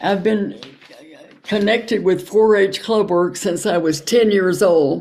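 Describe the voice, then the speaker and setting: A woman with a Kentucky accent, a medium pitch, a very slow pace, fairly even intonation and very even loudness. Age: 90s. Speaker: retired home economics extension worker. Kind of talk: casual chat.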